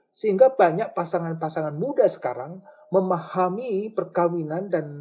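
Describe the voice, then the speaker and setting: Pitch varies by an ordinary amount as the talking proceeds at moderate speed. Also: man, high pitch for a man. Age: 60s. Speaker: church elder. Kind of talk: interview.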